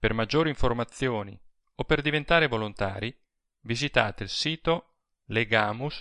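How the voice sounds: The natural reading voice is heard with a quiet background.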